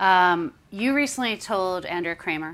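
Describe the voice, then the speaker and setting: Lively intonation marks this woman's speech, delivered at a very slow pace. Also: very clean recording, silent background. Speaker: magazine editor and interviewer. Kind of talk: live interview. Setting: stage with audience.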